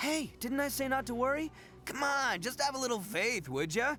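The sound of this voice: A man's put-on character voice, extremely high-pitched, bright and sharp, with lively intonation at a moderate pace, faint music in the background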